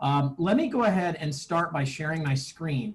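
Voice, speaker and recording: A man speaks with an unremarkable speaking voice at a fairly high pitch. His pace is moderate and his pitch variation ordinary. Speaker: math teacher. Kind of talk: online lecture.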